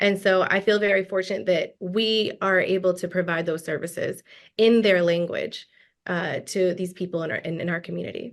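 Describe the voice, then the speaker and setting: A woman talks in a plain, everyday voice at a medium pitch and moderate pace, with fairly even intonation. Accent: American. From US South, Gwinnett County, Georgia. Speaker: lawyer. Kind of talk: interview.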